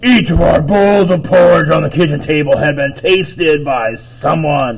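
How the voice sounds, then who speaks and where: Pitched fairly high, a man's put-on character voice carries the clip. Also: moderate pace. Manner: angry.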